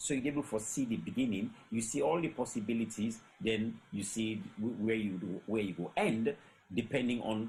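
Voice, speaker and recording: A man with a Sierra Leonean accent, medium in pitch, somewhat breathy, at a moderate pace and with lively intonation. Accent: Sierra Leonean English with Krio. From Sierra Leone, Freetown. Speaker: storyteller. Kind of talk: panel discussion. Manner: halting, many fillers.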